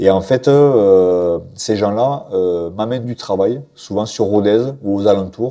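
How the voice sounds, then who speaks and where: Against a quiet background, a man speaks in a fairly low voice with a dark, mellow tone. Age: 40s. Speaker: professional boxer and coach; coach. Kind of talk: interview. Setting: boxing gym. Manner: halting, many fillers and repetitions. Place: gym. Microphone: lapel.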